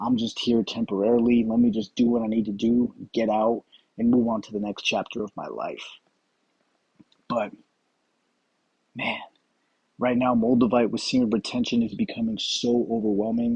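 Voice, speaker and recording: A man mumbles in a flat monotone, leaving long, frequent pauses. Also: medium pitch for a man, moderate pace. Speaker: spiritual vlogger. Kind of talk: casual monologue vlog. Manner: mumbling.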